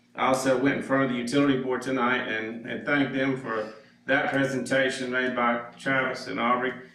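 Speaking at medium pitch, a man keeps a monotone, flat intonation. Noticeable background noise and audible room echo are present. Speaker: citizen speaking at public comment. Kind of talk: public comment at council meeting. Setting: council chamber, microphone off. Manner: loud.

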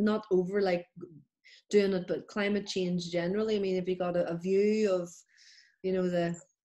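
A woman speaks in a monotone, flat delivery with long, frequent pauses. The background is quiet. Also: moderate pace. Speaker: podcast host. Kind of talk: podcast interview questions. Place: home room. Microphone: webcam.

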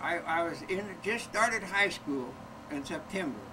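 A man talks fairly slowly while noticeable background noise carries on. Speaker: grandfather, longtime corneal transplant patient. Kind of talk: interview answer, personal storytelling. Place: home room. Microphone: old recording.

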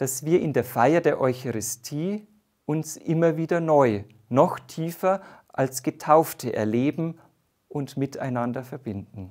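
Against a quiet background, a man with a fairly high pitch talks at a very slow pace. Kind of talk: sermon. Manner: formal, measured; warm, earnest. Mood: warm, calm, reflective. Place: studio. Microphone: lapel.

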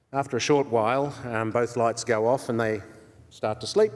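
Against a quiet background, a man with an Australian accent speaks at a medium pitch and a moderate pace. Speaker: session chair. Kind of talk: anecdote telling. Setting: conference stage with audience. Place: hall. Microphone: podium.

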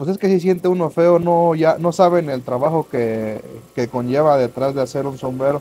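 A man speaks at a moderate pace with ordinary pitch variation. His voice is fairly high-pitched, with a dark, mellow tone. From Mexico, Michoacán (Lake Pátzcuaro area); Michoacán, Mexico. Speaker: hat maker. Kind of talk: product demonstration. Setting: hat workshop. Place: workshop. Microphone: lapel.

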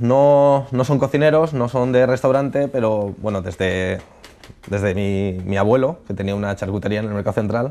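His pace is moderate. The man's pitch moves in an ordinary way. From Alicante, Spain. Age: 20s. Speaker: chef. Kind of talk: casual interview. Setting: studio. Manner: halting, with many fillers. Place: studio. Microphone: lapel.

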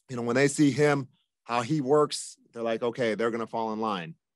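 Against a quiet background, a man with an American accent speaks with fairly even intonation. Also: dry sound with no echo. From Japan, then United States from age seven. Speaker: football coach. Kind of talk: radio interview. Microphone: video call.

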